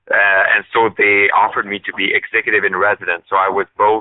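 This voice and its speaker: At a moderate pace, a man talks with a Quebec accent. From Eastern Quebec. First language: French. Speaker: politician. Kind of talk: interview. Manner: halting, many fillers.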